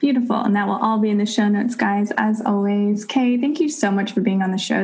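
Medium-pitched female speech at a fairly quick pace, with fairly even intonation and noticeable background noise. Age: 30s. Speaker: podcast host. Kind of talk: casual interview chat.

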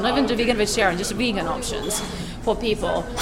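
Over music in the background and audible room echo, a woman talks very fast with fairly even intonation. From Croatia. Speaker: cafe and restaurant owner. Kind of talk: casual chat. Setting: cafe. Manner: swallows words.

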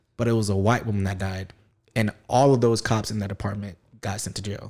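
Recorded very cleanly against a silent background, a man with an American accent speaks at a fairly quick pace in a dark, mellow tone. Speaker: podcast host. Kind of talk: casual chat.

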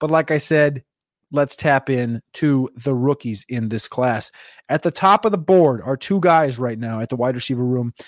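A man speaks at a medium pitch with an ordinary amount of pitch variation, in a New Jersey accent. The sound is dry and close with no echo, on a very clean recording with a silent background. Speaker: NFL draft analyst. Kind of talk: solo show preview, casual analysis. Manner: fast talker; casual, profane.

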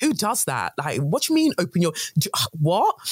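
A woman speaks with a London accent. Her pace is fairly quick. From London, England (born in Nigeria). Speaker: guest, creative entrepreneur. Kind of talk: casual chat. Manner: articulate.

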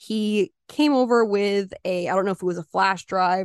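A woman with a normal speaking voice talks fairly slowly at a medium pitch, the sound dry and close with no echo. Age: 20s. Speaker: true crime podcast co-host. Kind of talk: casual storytelling.

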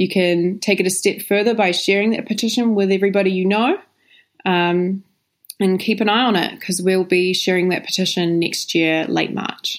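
Speaking at a moderate pace, a woman keeps a medium pitch, fairly even intonation, and very even loudness. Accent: New Zealand. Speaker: animal rights campaign manager. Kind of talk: interview. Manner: casual with frequent fillers.

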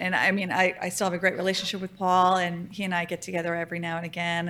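A fairly quick pace, captured in a very clean recording against a silent background. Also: woman. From Louisiana. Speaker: hotel design executive. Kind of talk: interview.

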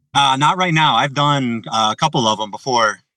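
Recorded dry and close with no echo, a man with an American accent talks fairly quickly in a bright, sharp tone with ordinary pitch variation. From New Jersey. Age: 30s. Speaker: caller. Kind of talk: call-in question. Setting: video call. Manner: reading aloud.

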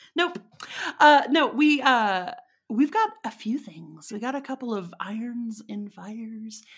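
Delivered at a fairly slow pace with lively intonation and big swings in loudness, this voice carries a Texan accent on a very clean recording with a silent background. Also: woman, fairly high pitch for a woman. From Texas. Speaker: witch and interviewee. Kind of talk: casual chat. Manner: laughs often, casual, halting.

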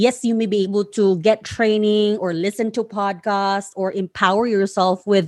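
With a Filipino accent, a woman speaks at a medium pitch and moderate pace with ordinary pitch variation, the sound dry and close with no echo against a quiet background. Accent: Filipino (Bisaya) accented English. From Philippines, Surigao del Sur (Mindanao). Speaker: podcast host and freelancing coach. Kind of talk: solo instructional monologue.

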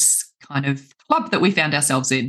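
In an Australian accent, a woman speaks at a very deep, low pitch. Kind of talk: interview. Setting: video call.

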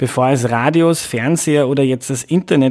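Here is an unremarkable speaking voice from a man at a medium pitch. He keeps a moderate pace and ordinary pitch variation. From Lower Austria, Mostviertel. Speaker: podcast host. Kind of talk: scripted narration; casual interview.

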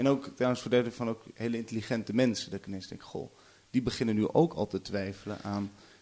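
At a very fast pace, a man speaks in a dark, mellow tone at a medium pitch with ordinary pitch variation. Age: 20s. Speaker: journalist. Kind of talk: casual chat.

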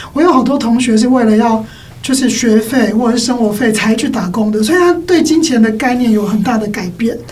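A woman's fairly high voice at a fairly quick pace, with ordinary pitch variation, noticeable background noise and audible room echo. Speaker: schoolteacher and parenting author. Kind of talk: casual chat.

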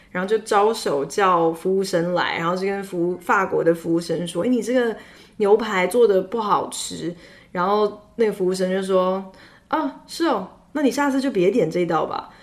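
A woman with an unremarkable speaking voice talks at a fairly slow pace. Her medium pitch carries lively intonation. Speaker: radio host. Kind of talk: casual chat. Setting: studio.

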